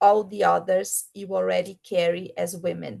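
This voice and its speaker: A woman speaks with a Portuguese accent. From Brazil. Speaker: keynote speaker, program manager. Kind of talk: keynote speech read aloud. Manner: slow.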